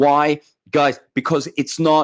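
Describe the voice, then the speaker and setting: A man with a fairly high voice speaks at a moderate speed. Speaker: crypto YouTuber. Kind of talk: unscripted livestream commentary. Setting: livestream on camera. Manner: animated; mumbling.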